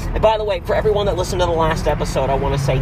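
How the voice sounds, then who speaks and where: There is noticeable background noise. Over it, a man's voice comes through. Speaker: podcast host. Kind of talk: reading aloud; casual chat. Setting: home recording with music playing. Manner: animated.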